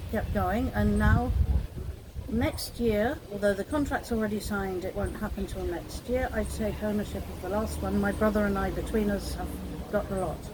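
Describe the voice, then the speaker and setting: Against noticeable background noise and audible room echo, a woman speaks with a British accent. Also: moderate pace. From UK. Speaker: condo business owner. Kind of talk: interview conversation.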